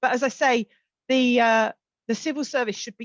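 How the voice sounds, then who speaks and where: In a South London accent, a woman speaks at a moderate pace, with a dry, close sound and no echo. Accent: South London twang. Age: 50s. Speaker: social mobility campaigner, keynote speaker. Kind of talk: keynote address.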